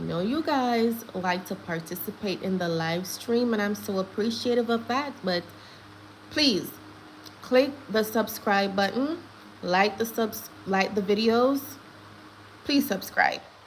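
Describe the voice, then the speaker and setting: A woman with a Jamaican accent, fairly high in pitch with ordinary pitch variation, at a fairly slow pace with long, frequent pauses and noticeable background noise. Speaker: gossip livestream host. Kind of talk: live stream commentary. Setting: live stream. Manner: animated.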